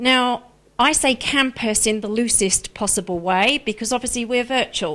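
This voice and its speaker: On a very clean recording with a silent background, a woman with a slight Australian accent speaks in a bright, sharp tone with ordinary pitch variation. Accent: slight Australian twang. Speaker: director of a wedding planning school. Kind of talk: live stream presentation. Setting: live stream.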